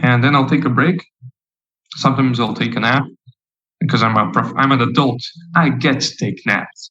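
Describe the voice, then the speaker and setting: Using a strong non-native accent, a man talks at a fairly quick pace with long, frequent pauses, his medium pitch carrying ordinary pitch variation. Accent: thick non-native English. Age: 20s. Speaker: comic artist and stand-up comedian. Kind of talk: casual interview chat.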